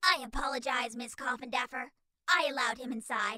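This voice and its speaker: This put-on character voice sits at a fairly high pitch. It moves at a fairly quick pace. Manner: cheerful, formal, rule-bound.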